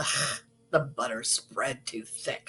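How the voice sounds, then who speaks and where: A woman puts on a raspy character voice. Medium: stage play. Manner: curt, grumbling.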